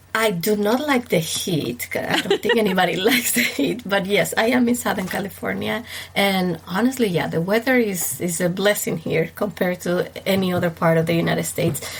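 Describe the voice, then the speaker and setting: Over noticeable background noise, a woman with an Ecuadorian accent speaks fairly quickly at a medium pitch, with ordinary pitch variation and very even loudness. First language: Spanish. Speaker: wedding planner. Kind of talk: casual interview.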